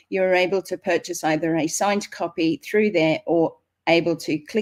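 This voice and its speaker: In an Australian accent, a woman speaks at a moderate pace with a fairly low pitch and ordinary pitch variation, on a very clean recording with a silent background. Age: 60s. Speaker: author and motivational speaker. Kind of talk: inspirational talk.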